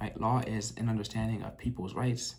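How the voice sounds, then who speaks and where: Intonation stays monotone and flat throughout. There is a somewhat breathy quality to the voice. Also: man. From Minnesota, US. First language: French. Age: young. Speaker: emergency medicine doctor. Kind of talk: casual vlog monologue. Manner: conversational, frequent fillers.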